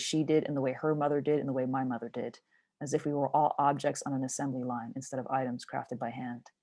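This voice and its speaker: On a very clean recording with a silent background, a woman speaks very fast in a dark, mellow tone with fairly even intonation. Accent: Montreal. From Montreal, Canada. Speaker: poet. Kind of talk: spoken word performance.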